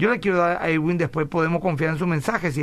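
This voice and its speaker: This man talks at a very fast pace. His voice sits fairly high. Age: 40s. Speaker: pastor and radio host. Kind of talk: radio Bible talk show.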